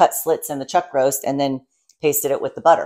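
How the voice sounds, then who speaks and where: A woman's very deep, low voice with ordinary pitch variation over a quiet background. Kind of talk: casual vlog chat. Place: kitchen. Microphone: lapel.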